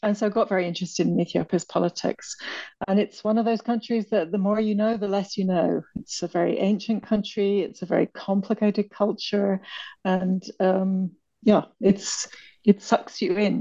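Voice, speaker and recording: This woman has a dark, mellow tone and a British accent. Her intonation stays monotone and flat. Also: medium pitch for a woman, moderate pace. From Britain. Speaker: author and Ethiopia consultant. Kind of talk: interview.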